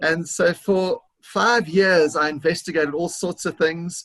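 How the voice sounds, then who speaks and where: Ordinary pitch variation with a South African accent. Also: man. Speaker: business consultant. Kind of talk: interview.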